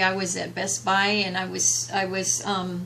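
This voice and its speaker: Her voice sits at a medium pitch for a woman, with audible room echo. Noticeable background noise runs underneath. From US, Mexican-American community. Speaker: graduate counseling student. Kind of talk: class presentation. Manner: halting, many fillers and repetitions.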